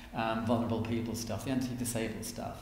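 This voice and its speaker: A man speaks in an Irish accent at a medium pitch. Noticeable background noise and audible room echo are present. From Ireland. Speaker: author and activist. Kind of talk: interview. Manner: animated.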